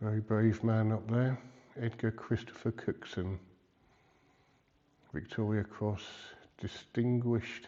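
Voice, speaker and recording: Delivered in a monotone, flat intonation, the speech runs fairly slowly with long, frequent pauses. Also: man, medium pitch for a man. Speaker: travel vlogger. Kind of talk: walking tour vlog. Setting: inside a church. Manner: hesitant, many ums.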